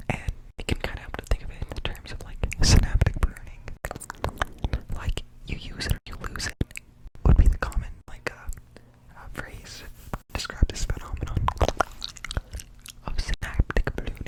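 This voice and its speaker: Whispering at a moderate pace with long, frequent pauses, over noticeable background noise. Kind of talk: ASMR whisper ramble. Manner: whispered; casual, rambling.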